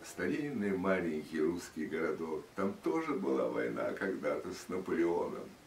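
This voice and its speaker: Over light background noise and audible room echo, a man with a very deep, low voice talks at a fairly slow pace with very wide pitch swings and hardly any pauses. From Russia. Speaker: radio and TV announcer. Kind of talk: interview answer. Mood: reflective, solemn. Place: home room. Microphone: camera far.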